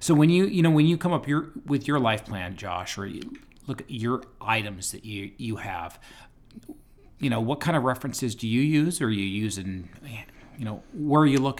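Using an unremarkable speaking voice, a man talks at a moderate pace with a medium pitch and lively intonation. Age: 40s. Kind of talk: casual podcast discussion.

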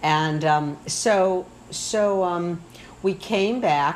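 Noticeable background noise sits behind the recording. The woman speaking shows ordinary pitch variation. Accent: American. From Michigan. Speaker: retired professor and communications coach. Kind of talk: casual interview. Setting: home kitchen.

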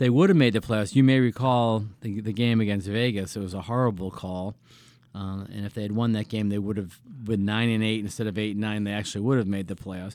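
Fairly low in pitch and fairly quick, this man has a plain, everyday voice with fairly even intonation. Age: 60s. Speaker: business executive. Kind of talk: casual chat.

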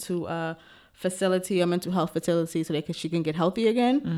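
A woman is speaking. She has a New York accent. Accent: New York (Bronx). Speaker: podcast co-host and special education teacher. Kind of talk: casual chat.

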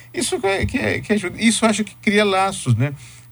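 A man talks at a moderate pace, his voice somewhat breathy. His pitch swings very widely. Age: 50s. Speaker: professor and writer. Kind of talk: radio interview.

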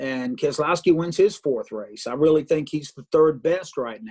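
A man with a normal speaking voice and a fairly high pitch talks at a moderate pace, the sound dry and close with no echo. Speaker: racing broadcaster. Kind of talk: radio interview. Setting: office phone or video call.

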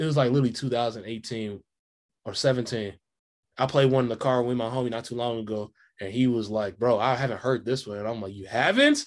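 A man at medium pitch, fairly quick and fairly even in intonation, against a quiet background. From Kansas City, Missouri. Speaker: hip hop artist, musician. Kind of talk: casual interview chat. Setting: video call.

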